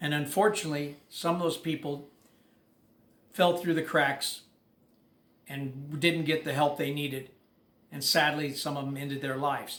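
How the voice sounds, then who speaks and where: Long, frequent pauses break up the speech. The intonation is monotone and flat, with audible room echo. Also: man, fairly high pitch for a man, moderate pace. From England. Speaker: former prisoner. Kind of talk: personal monologue to camera. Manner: halting, with fillers.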